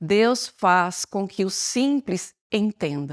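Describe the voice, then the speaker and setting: A woman talks very slowly at a medium pitch. The recording is very clean, with a silent background and a dry, close sound with no echo. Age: 60s. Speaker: church member giving testimony. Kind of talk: testimony.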